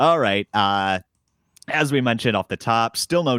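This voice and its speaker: An unremarkable speaking voice from a man with an American accent, moderate pace and lively intonation, in a dry, close sound with no echo. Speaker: podcast host. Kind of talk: casual podcast chat about baseball labor talks. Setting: recorded Monday night, Central Time.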